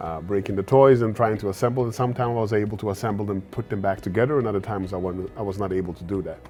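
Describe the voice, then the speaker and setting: Over music in the background, a man with a fairly low pitch talks at a very fast pace with hardly any pauses and fairly even intonation. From Sweden. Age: 40s. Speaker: tech startup founder. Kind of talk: fireside chat interview. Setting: live event fireside chat. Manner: hesitant, many fillers.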